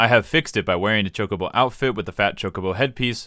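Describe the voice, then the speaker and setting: A man's fairly low voice at a very fast pace. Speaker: gaming YouTuber. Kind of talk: Q&A answering viewer questions. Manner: projected voice.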